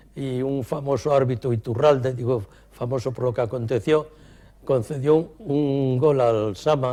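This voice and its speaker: Fairly slow delivery with a dark, mellow tone and fairly even intonation. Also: man, medium pitch for a man. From Cantabria, Spain (Torrelavega). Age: 80s+. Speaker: retired chemist and company executive. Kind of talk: interview.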